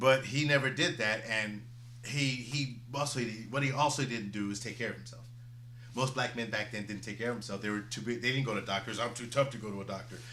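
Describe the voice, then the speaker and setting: In an American accent, a man speaks very fast at a medium pitch, his bright, sharp tone and fairly even intonation carrying an audible room echo. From Chicago. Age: 50s. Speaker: comedy show host. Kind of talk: casual chat. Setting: live stream show.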